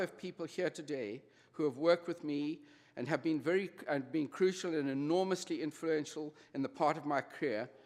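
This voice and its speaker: A man with a South African accent and a fairly high voice, moderate pace and ordinary pitch variation, on a very clean recording over a silent background. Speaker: honorary degree recipient, retail executive. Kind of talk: convocation speech. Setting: graduation ceremony with audience.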